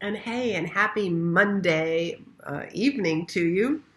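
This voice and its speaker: Over noticeable background noise, a woman talks in a medium pitch with lively intonation. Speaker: business coach. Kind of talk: live stream talk. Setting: Facebook Live video. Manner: casual, many fillers.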